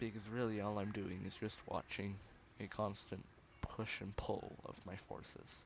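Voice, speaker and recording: At a fairly slow pace, a man with vocal fry and a fairly low pitch speaks with fairly even intonation. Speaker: gaming youtuber. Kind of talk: gameplay commentary.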